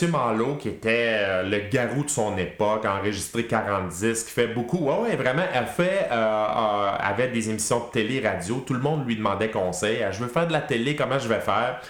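Speaking in a Quebec accent, a man uses a medium pitch at a moderate pace. His intonation is lively, and there is audible room echo. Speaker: public speaking trainer and former radio host. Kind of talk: casual interview chat.

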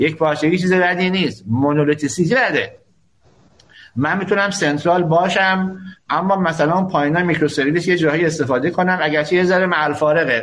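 A man talks in a high voice at a moderate pace. His loudness stays very even, with ordinary pitch variation. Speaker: university professor. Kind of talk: live panel discussion. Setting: live internet radio.

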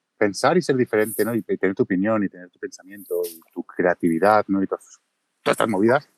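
The sound is dry and close with no echo, and the talking is fairly fast. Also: man. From Catalonia, Mataró. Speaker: video creator. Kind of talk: casual chat. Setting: Twitter Space audio room.

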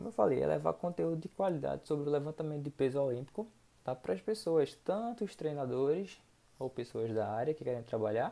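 A man talks at a fairly quick pace with a fairly high pitch and a dark, mellow tone. His pitch swings very widely. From Recife, Pernambuco, Brazil. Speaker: weightlifting coach and podcast host. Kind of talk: solo podcast monologue. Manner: casual, frequent filler tags.

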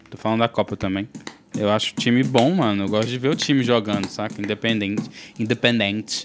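A man talks at a fairly quick pace in a plain, everyday voice. His pitch is medium. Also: ordinary pitch variation. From Brazil. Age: 30s. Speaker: podcast co-host. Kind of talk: casual chat.

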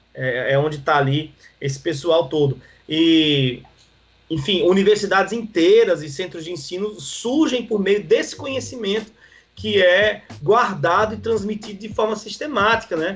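A man with a high-pitched voice and lively intonation keeps a moderate pace. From Northeast Brazil (João Pessoa, Paraíba). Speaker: pastor. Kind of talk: podcast interview, teaching. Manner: halting, many fillers.

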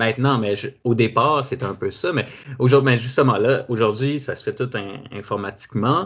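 A man with a Quebec accent talks at a moderate pace and a medium pitch. His loudness swings widely while his pitch varies in an ordinary way. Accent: Québécois French. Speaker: podcast host. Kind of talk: casual interview. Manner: halting.

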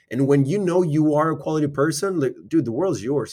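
On a very clean recording with a silent background, a man speaks in an ordinary speaking voice at a moderate pace, his pitch fairly high with ordinary pitch variation. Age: 20s. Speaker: podcast co-founder and host. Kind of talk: casual chat.

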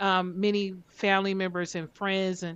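An unremarkable speaking voice with an American accent, at a moderate pace against a quiet background. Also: woman. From northern US (Detroit area). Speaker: genealogy researcher and film festival founder. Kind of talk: interview.

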